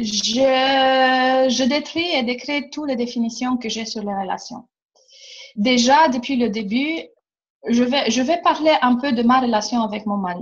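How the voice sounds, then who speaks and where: In a Romanian accent, the speaker goes at a fairly slow pace with ordinary pitch variation. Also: woman, high pitch for a woman. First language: Romanian (speaking French). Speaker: workshop facilitator. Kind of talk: casual chat. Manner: animated.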